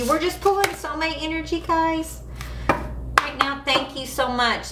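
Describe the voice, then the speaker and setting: A woman talks at a very slow pace in a raised, projected voice. Audible room echo and noticeable background noise surround her. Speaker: tarot reader. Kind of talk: live tarot reading. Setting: livestream. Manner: casual, conversational.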